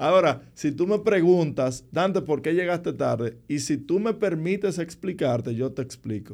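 Using vocal fry, a man talks at a fairly slow pace with a fairly high pitch and hardly any pauses. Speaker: political commentator. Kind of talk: casual interview.

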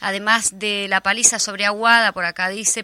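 A woman with a Uruguayan accent, medium pitch and a bright, sharp tone, at a fairly slow pace, in a very clean recording with a silent background and a dry, close sound with no echo. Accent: Rioplatense Spanish (Uruguayan). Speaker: radio host. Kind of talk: news reading.

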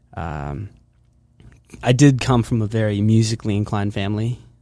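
A man with an American accent talks at a moderate pace in a fairly low voice with ordinary pitch variation. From US, Pennsylvania (Hershey). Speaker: film composer and university student. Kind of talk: casual interview chat. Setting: studio.

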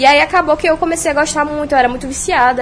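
A woman speaks with a high pitch and fairly even intonation at a fairly quick pace. Noticeable background noise is present. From Bahia, Salvador. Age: 20s. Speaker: streamer and internet personality. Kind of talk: casual podcast interview.

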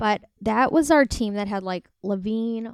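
Fairly slow speech in an ordinary speaking voice with an American accent, on a very clean recording with a silent background. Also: woman. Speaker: podcast co-host. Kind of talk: casual chat.

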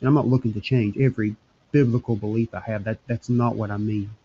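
Very fast and somewhat breathy, a man speaks at medium pitch in a dark, mellow tone with monotone, flat intonation. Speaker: religious podcast host. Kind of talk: solo monologue. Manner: halting.

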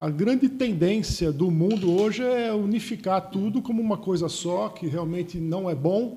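Dark and mellow in tone, the voice moves at a fairly slow pace with hardly any pauses and ordinary pitch variation. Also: man, high pitch for a man. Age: old. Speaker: engineer and local historian. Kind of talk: panel interview. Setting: studio.

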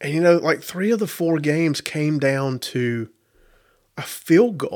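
Speaking at a fairly slow pace with ordinary pitch variation and a Southern US accent, the voice comes through on a very clean recording with a silent background. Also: man, fairly high pitch for a man. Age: 30s. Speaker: podcast host. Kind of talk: casual monologue.

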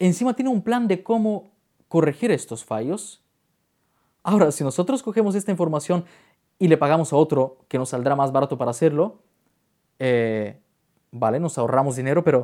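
A man's fairly high voice, dark and mellow in tone, fairly quick yet broken by long, frequent pauses, with very wide pitch swings. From Bulgaria. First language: Bulgarian (speaking Spanish). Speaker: wedding photographer and YouTuber. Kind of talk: interview conversation.

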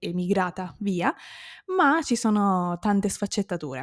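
The woman has an unremarkable speaking voice at medium pitch. Her recording is very clean with a silent background and a dry, close sound with no echo. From Sicily, Modica. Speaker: language teacher, podcaster. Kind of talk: solo podcast monologue.

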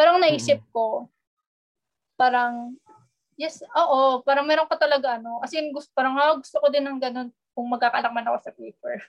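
A woman's high-pitched voice at a moderate pace, fairly even intonation, and big swings in loudness. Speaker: architecture student. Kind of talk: casual chat.

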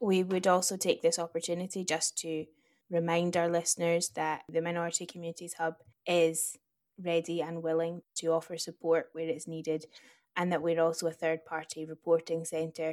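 The speaker talks at a moderate pace in a Scottish accent, with flat, monotone intonation. The recording is very clean, with a silent background. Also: woman, fairly low pitch for a woman. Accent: Scottish, fairly noticeable. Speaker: podcast co-host. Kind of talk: casual chat.

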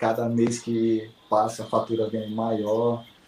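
A man of medium pitch talks over noticeable background noise. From Manaus, Amazonas, Brazil. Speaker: finance worker, student of a miles course. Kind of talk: interview.

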